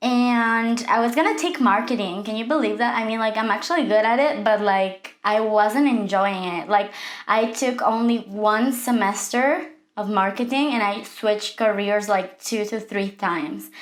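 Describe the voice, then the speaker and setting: Speaking at a moderate pace, a woman uses a fairly high pitch with ordinary pitch variation. She has a Mexican accent, and room echo can be heard. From Mexico City. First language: Spanish. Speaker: makeup artist, vlogger. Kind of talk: casual vlog story time. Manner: casual, conversational.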